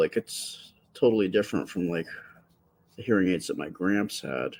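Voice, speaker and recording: A man talks at a moderate pace in a dry, close sound with no echo, on a very clean recording with a silent background. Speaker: livestreaming artist. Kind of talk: casual chat. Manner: soft-spoken; halting. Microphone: close to the microphone.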